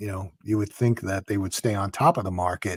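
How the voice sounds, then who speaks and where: On a very clean recording with a silent background, a man's somewhat breathy, fairly low voice with a dark, mellow tone comes at a moderate pace in a dry, close sound with no echo. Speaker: podcast host. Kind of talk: interview question.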